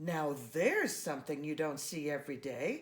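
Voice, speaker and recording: A woman's put-on character voice at a very deep, low pitch. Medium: read story.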